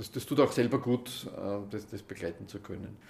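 At a moderate pace, a man with an Austrian accent speaks at a medium pitch. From Upper Austria, Gmunden. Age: 60s. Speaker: mediator and trainer. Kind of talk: interview.

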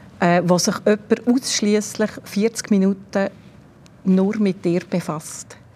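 Over noticeable background noise, a woman talks at a very slow pace with fairly even intonation. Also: medium pitch for a woman. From Switzerland, Bern region. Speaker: former cellist and music school director. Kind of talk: interview.

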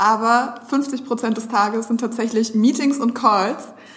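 A fairly high-pitched woman's voice can be heard against noticeable background noise. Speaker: social media agency strategist and podcast co-host. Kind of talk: casual chat. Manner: fast.

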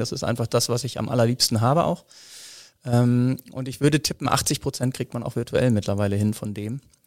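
Speech comes at a moderate speed. The recording is very clean, and the background is silent. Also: man. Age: 40s. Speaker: business development manager in telecom. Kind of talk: interview. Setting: studio, face to face. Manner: hesitant with fillers.

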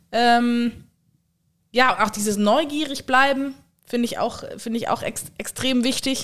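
A woman's high voice at a very slow pace, fairly even in intonation, with long, frequent pauses. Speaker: podcast co-host. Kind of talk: casual chat. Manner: quiet.

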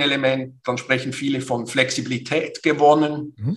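A man talks at a moderate pace and medium pitch. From Switzerland, Basel. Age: 50s. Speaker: business consultant and coach. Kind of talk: interview. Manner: hesitant, many fillers and repetitions.

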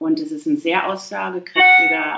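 A woman speaks at a very slow pace. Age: 50s. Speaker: patient with Crohn's disease. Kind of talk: casual interview.

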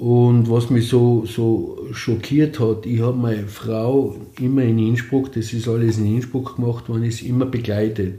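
With audible room echo, a man speaks in a somewhat breathy, dark, mellow voice at medium pitch with monotone, flat intonation. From Austria, East Tyrol (Lienz area). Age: 60s. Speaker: cancer patient. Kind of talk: interview testimony.

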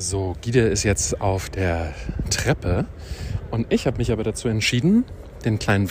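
A man with a fairly low pitch speaks at a moderate pace with lively intonation. Noticeable background noise is present. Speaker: podcast host. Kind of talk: travel podcast on location. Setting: outdoors in the city.

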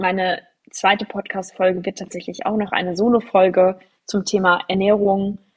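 A woman's plain, everyday voice at medium pitch and a moderate pace. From Germany, near Frankfurt. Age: 30s. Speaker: podcast host. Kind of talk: solo personal storytelling podcast. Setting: studio microphone.

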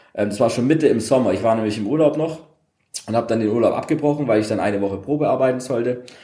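Audible room echo surrounds a man's medium-pitched voice. He talks at a very fast pace with ordinary pitch variation. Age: 30s. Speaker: DJ, former upholsterer. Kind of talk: casual interview chat. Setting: converted old car workshop.

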